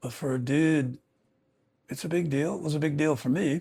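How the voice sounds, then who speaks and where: The recording is very clean, with a silent background. A man speaks somewhat breathily at a moderate pace. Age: 70s. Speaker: prostate cancer patient. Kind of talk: casual talk to camera.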